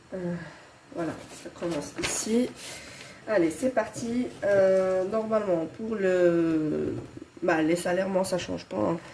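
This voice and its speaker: Against noticeable background noise, a woman speaks at a very slow pace with long, frequent pauses. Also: medium pitch for a woman, ordinary pitch variation. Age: 30s. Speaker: budgeting vlogger. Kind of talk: casual tutorial. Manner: hesitant, many fillers.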